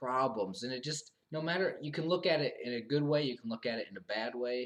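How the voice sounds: At a fairly quick pace, a man speaks with medium pitch and ordinary pitch variation.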